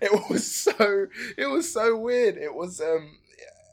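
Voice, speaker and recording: The speaker has an English accent and very wide pitch swings. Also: man. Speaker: actor and video game voice actor. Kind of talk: casual interview. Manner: animated, laughs often.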